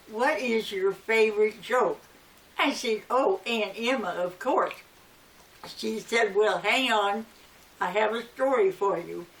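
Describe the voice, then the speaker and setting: Amid noticeable background noise, a woman speaks at a very slow pace with long, frequent pauses, a fairly high pitch and ordinary pitch variation. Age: 80s+. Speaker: elderly storyteller. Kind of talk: personal reminiscence.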